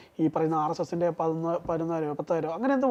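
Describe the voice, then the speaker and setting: A man with lively intonation. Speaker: political commentator. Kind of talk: political analysis interview.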